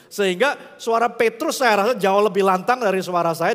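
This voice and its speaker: A man's raised, projected voice. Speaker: pastor. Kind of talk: sermon. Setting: church.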